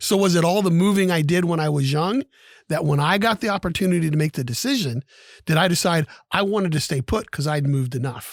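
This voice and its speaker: In an American accent, a man speaks very fast at a high pitch with very even loudness, the sound dry and close with no echo and the recording very clean over a silent background. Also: lively intonation. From Ohio. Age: 60s. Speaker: podcast co-host. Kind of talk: show closing; casual chat.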